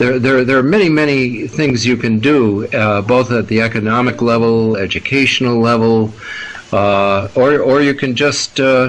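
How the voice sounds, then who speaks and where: A man with an American accent speaks at medium pitch and a moderate pace. His pitch varies in an ordinary way over noticeable background noise. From United States. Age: 70s. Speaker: scientist and activist. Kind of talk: interview. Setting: radio interview. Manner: halting, many fillers and repetitions.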